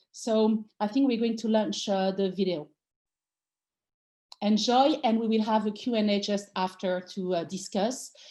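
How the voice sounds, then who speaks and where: Speaking at a fairly slow pace with a French accent, a woman has a dark, mellow tone, fairly high pitch and ordinary pitch variation over a quiet background. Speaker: design theorist and author. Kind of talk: talk introduction.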